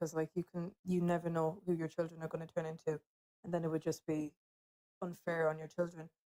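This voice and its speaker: A woman with an Irish accent, fairly low pitch, a dark, mellow tone and monotone, flat intonation. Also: dry, close sound with no echo. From Ireland. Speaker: TikTok live participant. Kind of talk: casual discussion. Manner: hesitant, many fillers.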